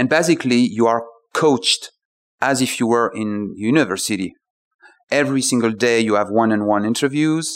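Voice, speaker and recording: With a French accent, a man speaks fairly quickly at a medium pitch and ordinary pitch variation. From France. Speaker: startup founder. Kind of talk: interview. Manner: halting.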